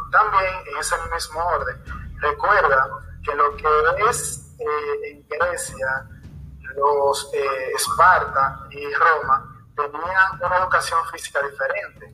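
Very slow speech from a man, with big swings in loudness, against noticeable background noise. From Dominican Republic, Salcedo. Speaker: physical education teacher. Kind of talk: casual discussion podcast.

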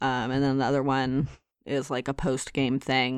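The background is quiet. A woman speaks with a very deep, low pitch. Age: 30s. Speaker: video game podcast co-host. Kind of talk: casual chat.

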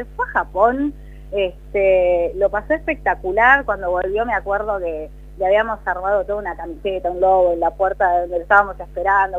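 A plain, everyday voice: a woman at medium pitch, fairly quick pace, lively intonation. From La Plata, Argentina. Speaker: TV news presenter. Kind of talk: casual interview.

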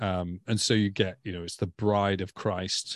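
A man with a Stoke accent speaks at a moderate pace. His very deep, low voice stays monotone and flat. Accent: English Midlands (Stoke). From England, Stoke-on-Trent. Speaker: ministry development director. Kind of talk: casual chat.

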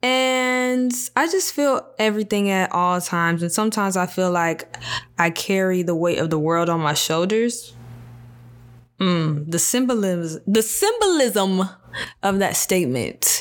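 A woman with a medium pitch speaks at a fairly slow pace, her intonation lively. Noticeable background noise runs under her voice. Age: 20s. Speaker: solo podcast host. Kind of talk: casual monologue. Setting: home video and audio recording. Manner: conversational with fillers.

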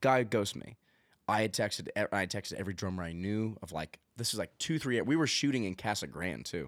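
In a normal speaking voice, a man with an American accent talks at a fairly quick pace with lively intonation and a fairly low pitch, the recording very clean with a silent background and a dry, close sound with no echo. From Arizona (Gilbert, Queen Creek). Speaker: country singer-songwriter. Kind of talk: casual chat.

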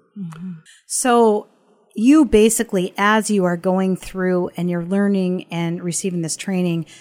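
On a very clean recording with a silent background, a woman speaks at a moderate pace in a plain, everyday voice. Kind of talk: interview, podcast host.

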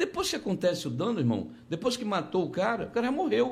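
A man speaks with lively intonation and vocal fry. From Conceição do Araguaia, Pará, northern Brazil. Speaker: politician, gubernatorial candidate. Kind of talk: interview.

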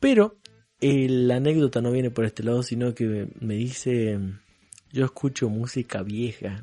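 Fairly even intonation marks this man's speech, delivered in a dark, mellow tone. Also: dry, close sound with no echo. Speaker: podcast co-host. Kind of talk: casual chat.

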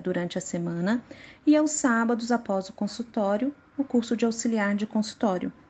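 A woman talks with a somewhat breathy sound. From Brazil, Minas Gerais (Contagem). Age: 30s. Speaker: dentist. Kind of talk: prepared personal statement.

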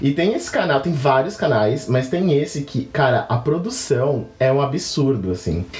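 A man talks at a fairly slow pace with lively intonation and a fairly high pitch. His loudness stays very even over noticeable background noise. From São Paulo, Brazil. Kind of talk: casual chat.

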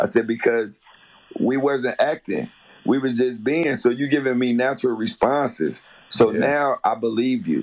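A man with an American accent and an ordinary speaking voice, medium pitch, lively intonation and a moderate pace. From Chicago. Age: 40s. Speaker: actor. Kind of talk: casual chat.

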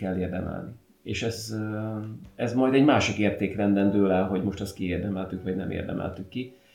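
Speaking at a fairly quick pace with fairly even intonation, a man with a fairly low pitch is heard over audible room echo. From Hungary, Szentes. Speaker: podcast host. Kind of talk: casual chat.

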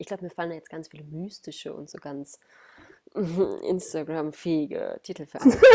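Big swings in loudness from a woman at a moderate pace. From Ruhr area, Germany. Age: 30s. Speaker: body awareness coach. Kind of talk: podcast interview.

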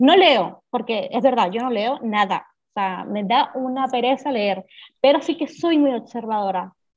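Her pitch high and her intonation lively, a woman talks fairly slowly. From Venezuela. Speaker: illustrator and graphic designer. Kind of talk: interview. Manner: halting.

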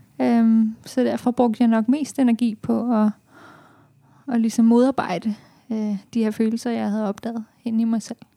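A woman with a fairly high pitch and a dark, mellow tone speaks somewhat breathily, in a monotone, flat intonation. Her pace is fairly slow with long, frequent pauses, and the sound is dry and close with no echo. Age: 20s. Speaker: café operations manager. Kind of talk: podcast interview. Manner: halting.

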